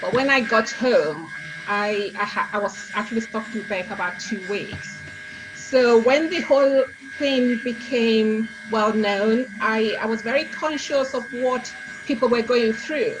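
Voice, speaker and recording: Background music plays throughout. A woman speaks fairly slowly over it. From Africa. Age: 60s. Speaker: cookbook author. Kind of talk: interview.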